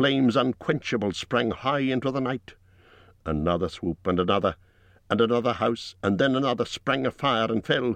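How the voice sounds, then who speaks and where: With an ordinary speaking voice at medium pitch, a man talks at a moderate pace with ordinary pitch variation, the sound dry and close with no echo and a quiet background. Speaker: audiobook narrator. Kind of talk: dramatic audiobook narration of a dragon attack on a burning town.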